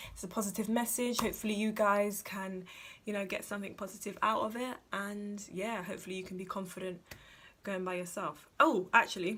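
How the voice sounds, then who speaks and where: Fairly even intonation at a moderate pace. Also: woman. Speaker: vlogger. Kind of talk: casual advice vlog.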